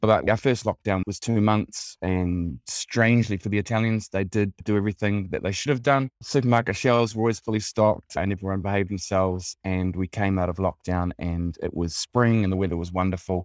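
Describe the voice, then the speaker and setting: A man talks at a fairly quick pace in a New Zealand accent. His voice is fairly low, and he hardly pauses. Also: ordinary pitch variation. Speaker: travel tourism representative. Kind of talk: casual interview.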